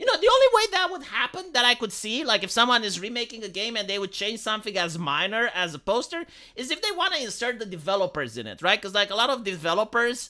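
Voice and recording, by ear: With a squeaky, bright, sharp tone, a woman speaks fast at a fairly high pitch, her voice making big pitch swings.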